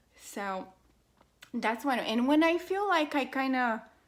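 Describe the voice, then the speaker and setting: The speaker has a non-native accent and lively intonation. Delivery is very slow, on a very clean recording with a silent background. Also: woman. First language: not English. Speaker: beauty vlogger. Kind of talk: makeup tutorial. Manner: casual, hesitant with fillers.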